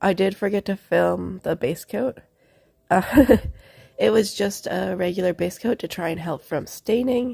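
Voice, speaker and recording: A woman's dark, mellow voice with vocal fry, medium pitch and ordinary pitch variation. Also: fairly slow pace, very clean recording, silent background. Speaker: nail art creator. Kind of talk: tutorial.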